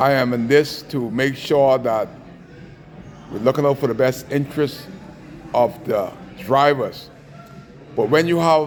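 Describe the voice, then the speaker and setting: A man's fairly high voice at a fairly slow pace, with long, frequent pauses and noticeable background noise. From Bahamas. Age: 60s. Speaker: taxi union advocate. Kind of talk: angry rant. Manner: animated.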